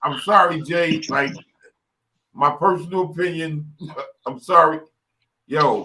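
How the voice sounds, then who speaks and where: With a high pitch and a bright, sharp tone, a man speaks at a fairly slow pace, his intonation fairly even and his pauses long and frequent. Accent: New York. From New York City, Brooklyn. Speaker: rap artist and engineer. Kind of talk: casual chat.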